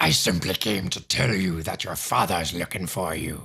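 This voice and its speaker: Putting on a character voice, a man growls at a moderate pace in a very deep, low pitch. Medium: read story. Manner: whining, placating.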